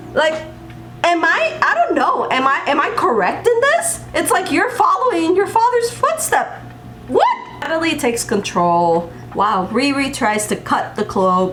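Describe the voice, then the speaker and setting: An animated woman's extremely high voice with very wide pitch swings at a fairly slow pace, amid noticeable background noise and audible room echo. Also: very even loudness. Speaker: TV show reviewer. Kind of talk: video review commentary.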